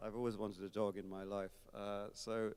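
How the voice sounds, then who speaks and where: The voice carries an English accent and fairly even intonation. The pace is moderate. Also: man. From England, Kent. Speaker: concert organist. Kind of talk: onstage interview. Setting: recital hall with audience. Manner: hesitant, many fillers.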